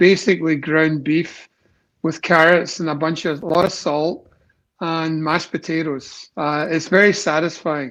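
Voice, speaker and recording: A man's high-pitched voice with a slight Scottish accent, a fairly slow pace and fairly even intonation. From Scotland, Glasgow. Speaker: company executive. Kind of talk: casual interview.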